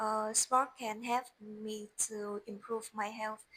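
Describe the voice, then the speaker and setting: A woman with a Vietnamese accent speaks at a fairly high pitch. Her delivery is very slow, with monotone, flat intonation. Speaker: English learner. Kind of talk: speaking test practice. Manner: halting.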